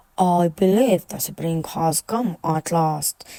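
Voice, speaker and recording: A gruff, put-on character voice at a middle pitch and a very slow pace. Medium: read story.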